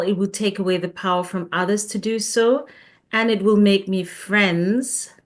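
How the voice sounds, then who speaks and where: At a very slow pace, a woman with a non-native accent speaks at a medium pitch with fairly even intonation against a quiet background. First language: not English. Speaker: coach. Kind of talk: casual chat.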